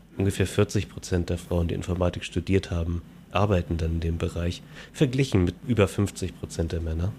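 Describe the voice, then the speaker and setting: A man's very deep, low voice, dark and mellow, somewhat breathy, with fairly even intonation. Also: moderate pace. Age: 30s. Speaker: podcast host, software developer. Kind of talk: casual chat.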